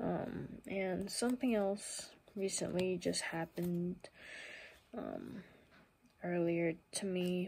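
Quiet and at a very slow pace, a woman speaks with fairly even intonation and long, frequent pauses. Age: 20s. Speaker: vlogger. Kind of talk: casual talk to camera. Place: home room. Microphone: phone near.

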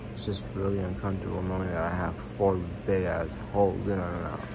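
There is loud background noise. A man is speaking. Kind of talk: casual vlog chat. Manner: groggy, swollen-mouthed post-surgery speech. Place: home room. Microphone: phone near.

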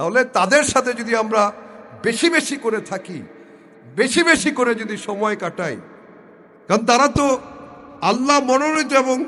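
This man speaks in a raised, projected voice at an extremely high pitch. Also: ordinary pitch variation. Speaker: barrister giving a religious talk. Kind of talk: personal appeal for prayers; religious sermon (waz). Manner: halting, many pauses.

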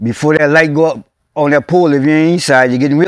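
A man speaks with a South Louisiana accent. The sound is dry with no echo and the background is quiet. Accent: South Louisiana rural English. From Louisiana, USA. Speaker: oral history interviewee. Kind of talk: oral history interview answer. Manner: casual, conversational. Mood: warm, nostalgic storytelling. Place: open country.

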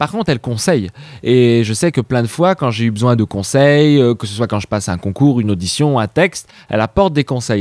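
A man speaks at a fairly quick pace in a medium-pitched voice. The background is quiet and the sound is dry with no echo. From France, Savoie. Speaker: actor, writer and singer; actor. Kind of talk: interview. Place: home room. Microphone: handheld.

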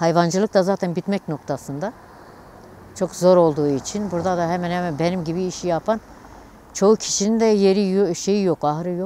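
A woman talks at a moderate pace with a fairly low pitch and fairly even intonation. The sound is dry with no echo, over light background noise. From Turkey, Dersim (Ovacık). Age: 60s. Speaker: livestock farmer. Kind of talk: news interview testimony. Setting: outdoors / barn on the farm. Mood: somber, complaining of hardship. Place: street. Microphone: lapel.

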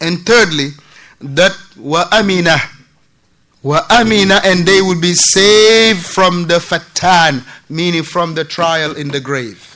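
His tone bright and sharp, a man with a high pitch and ordinary pitch variation speaks at a fairly slow pace. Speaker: religious teacher. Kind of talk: lecture. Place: church.

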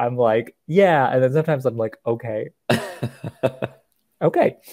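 Over a quiet background, a man is talking. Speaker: podcast co-host. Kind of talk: casual podcast chat recapping a TV episode. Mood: amused, relaxed. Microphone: earbuds.

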